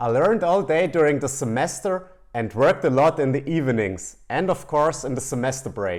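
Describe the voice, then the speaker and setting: A fairly quick, lively delivery in a German accent with hardly any pauses. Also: man, fairly high pitch for a man. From Germany. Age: 30s. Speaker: finance content creator. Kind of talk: casual talk to camera.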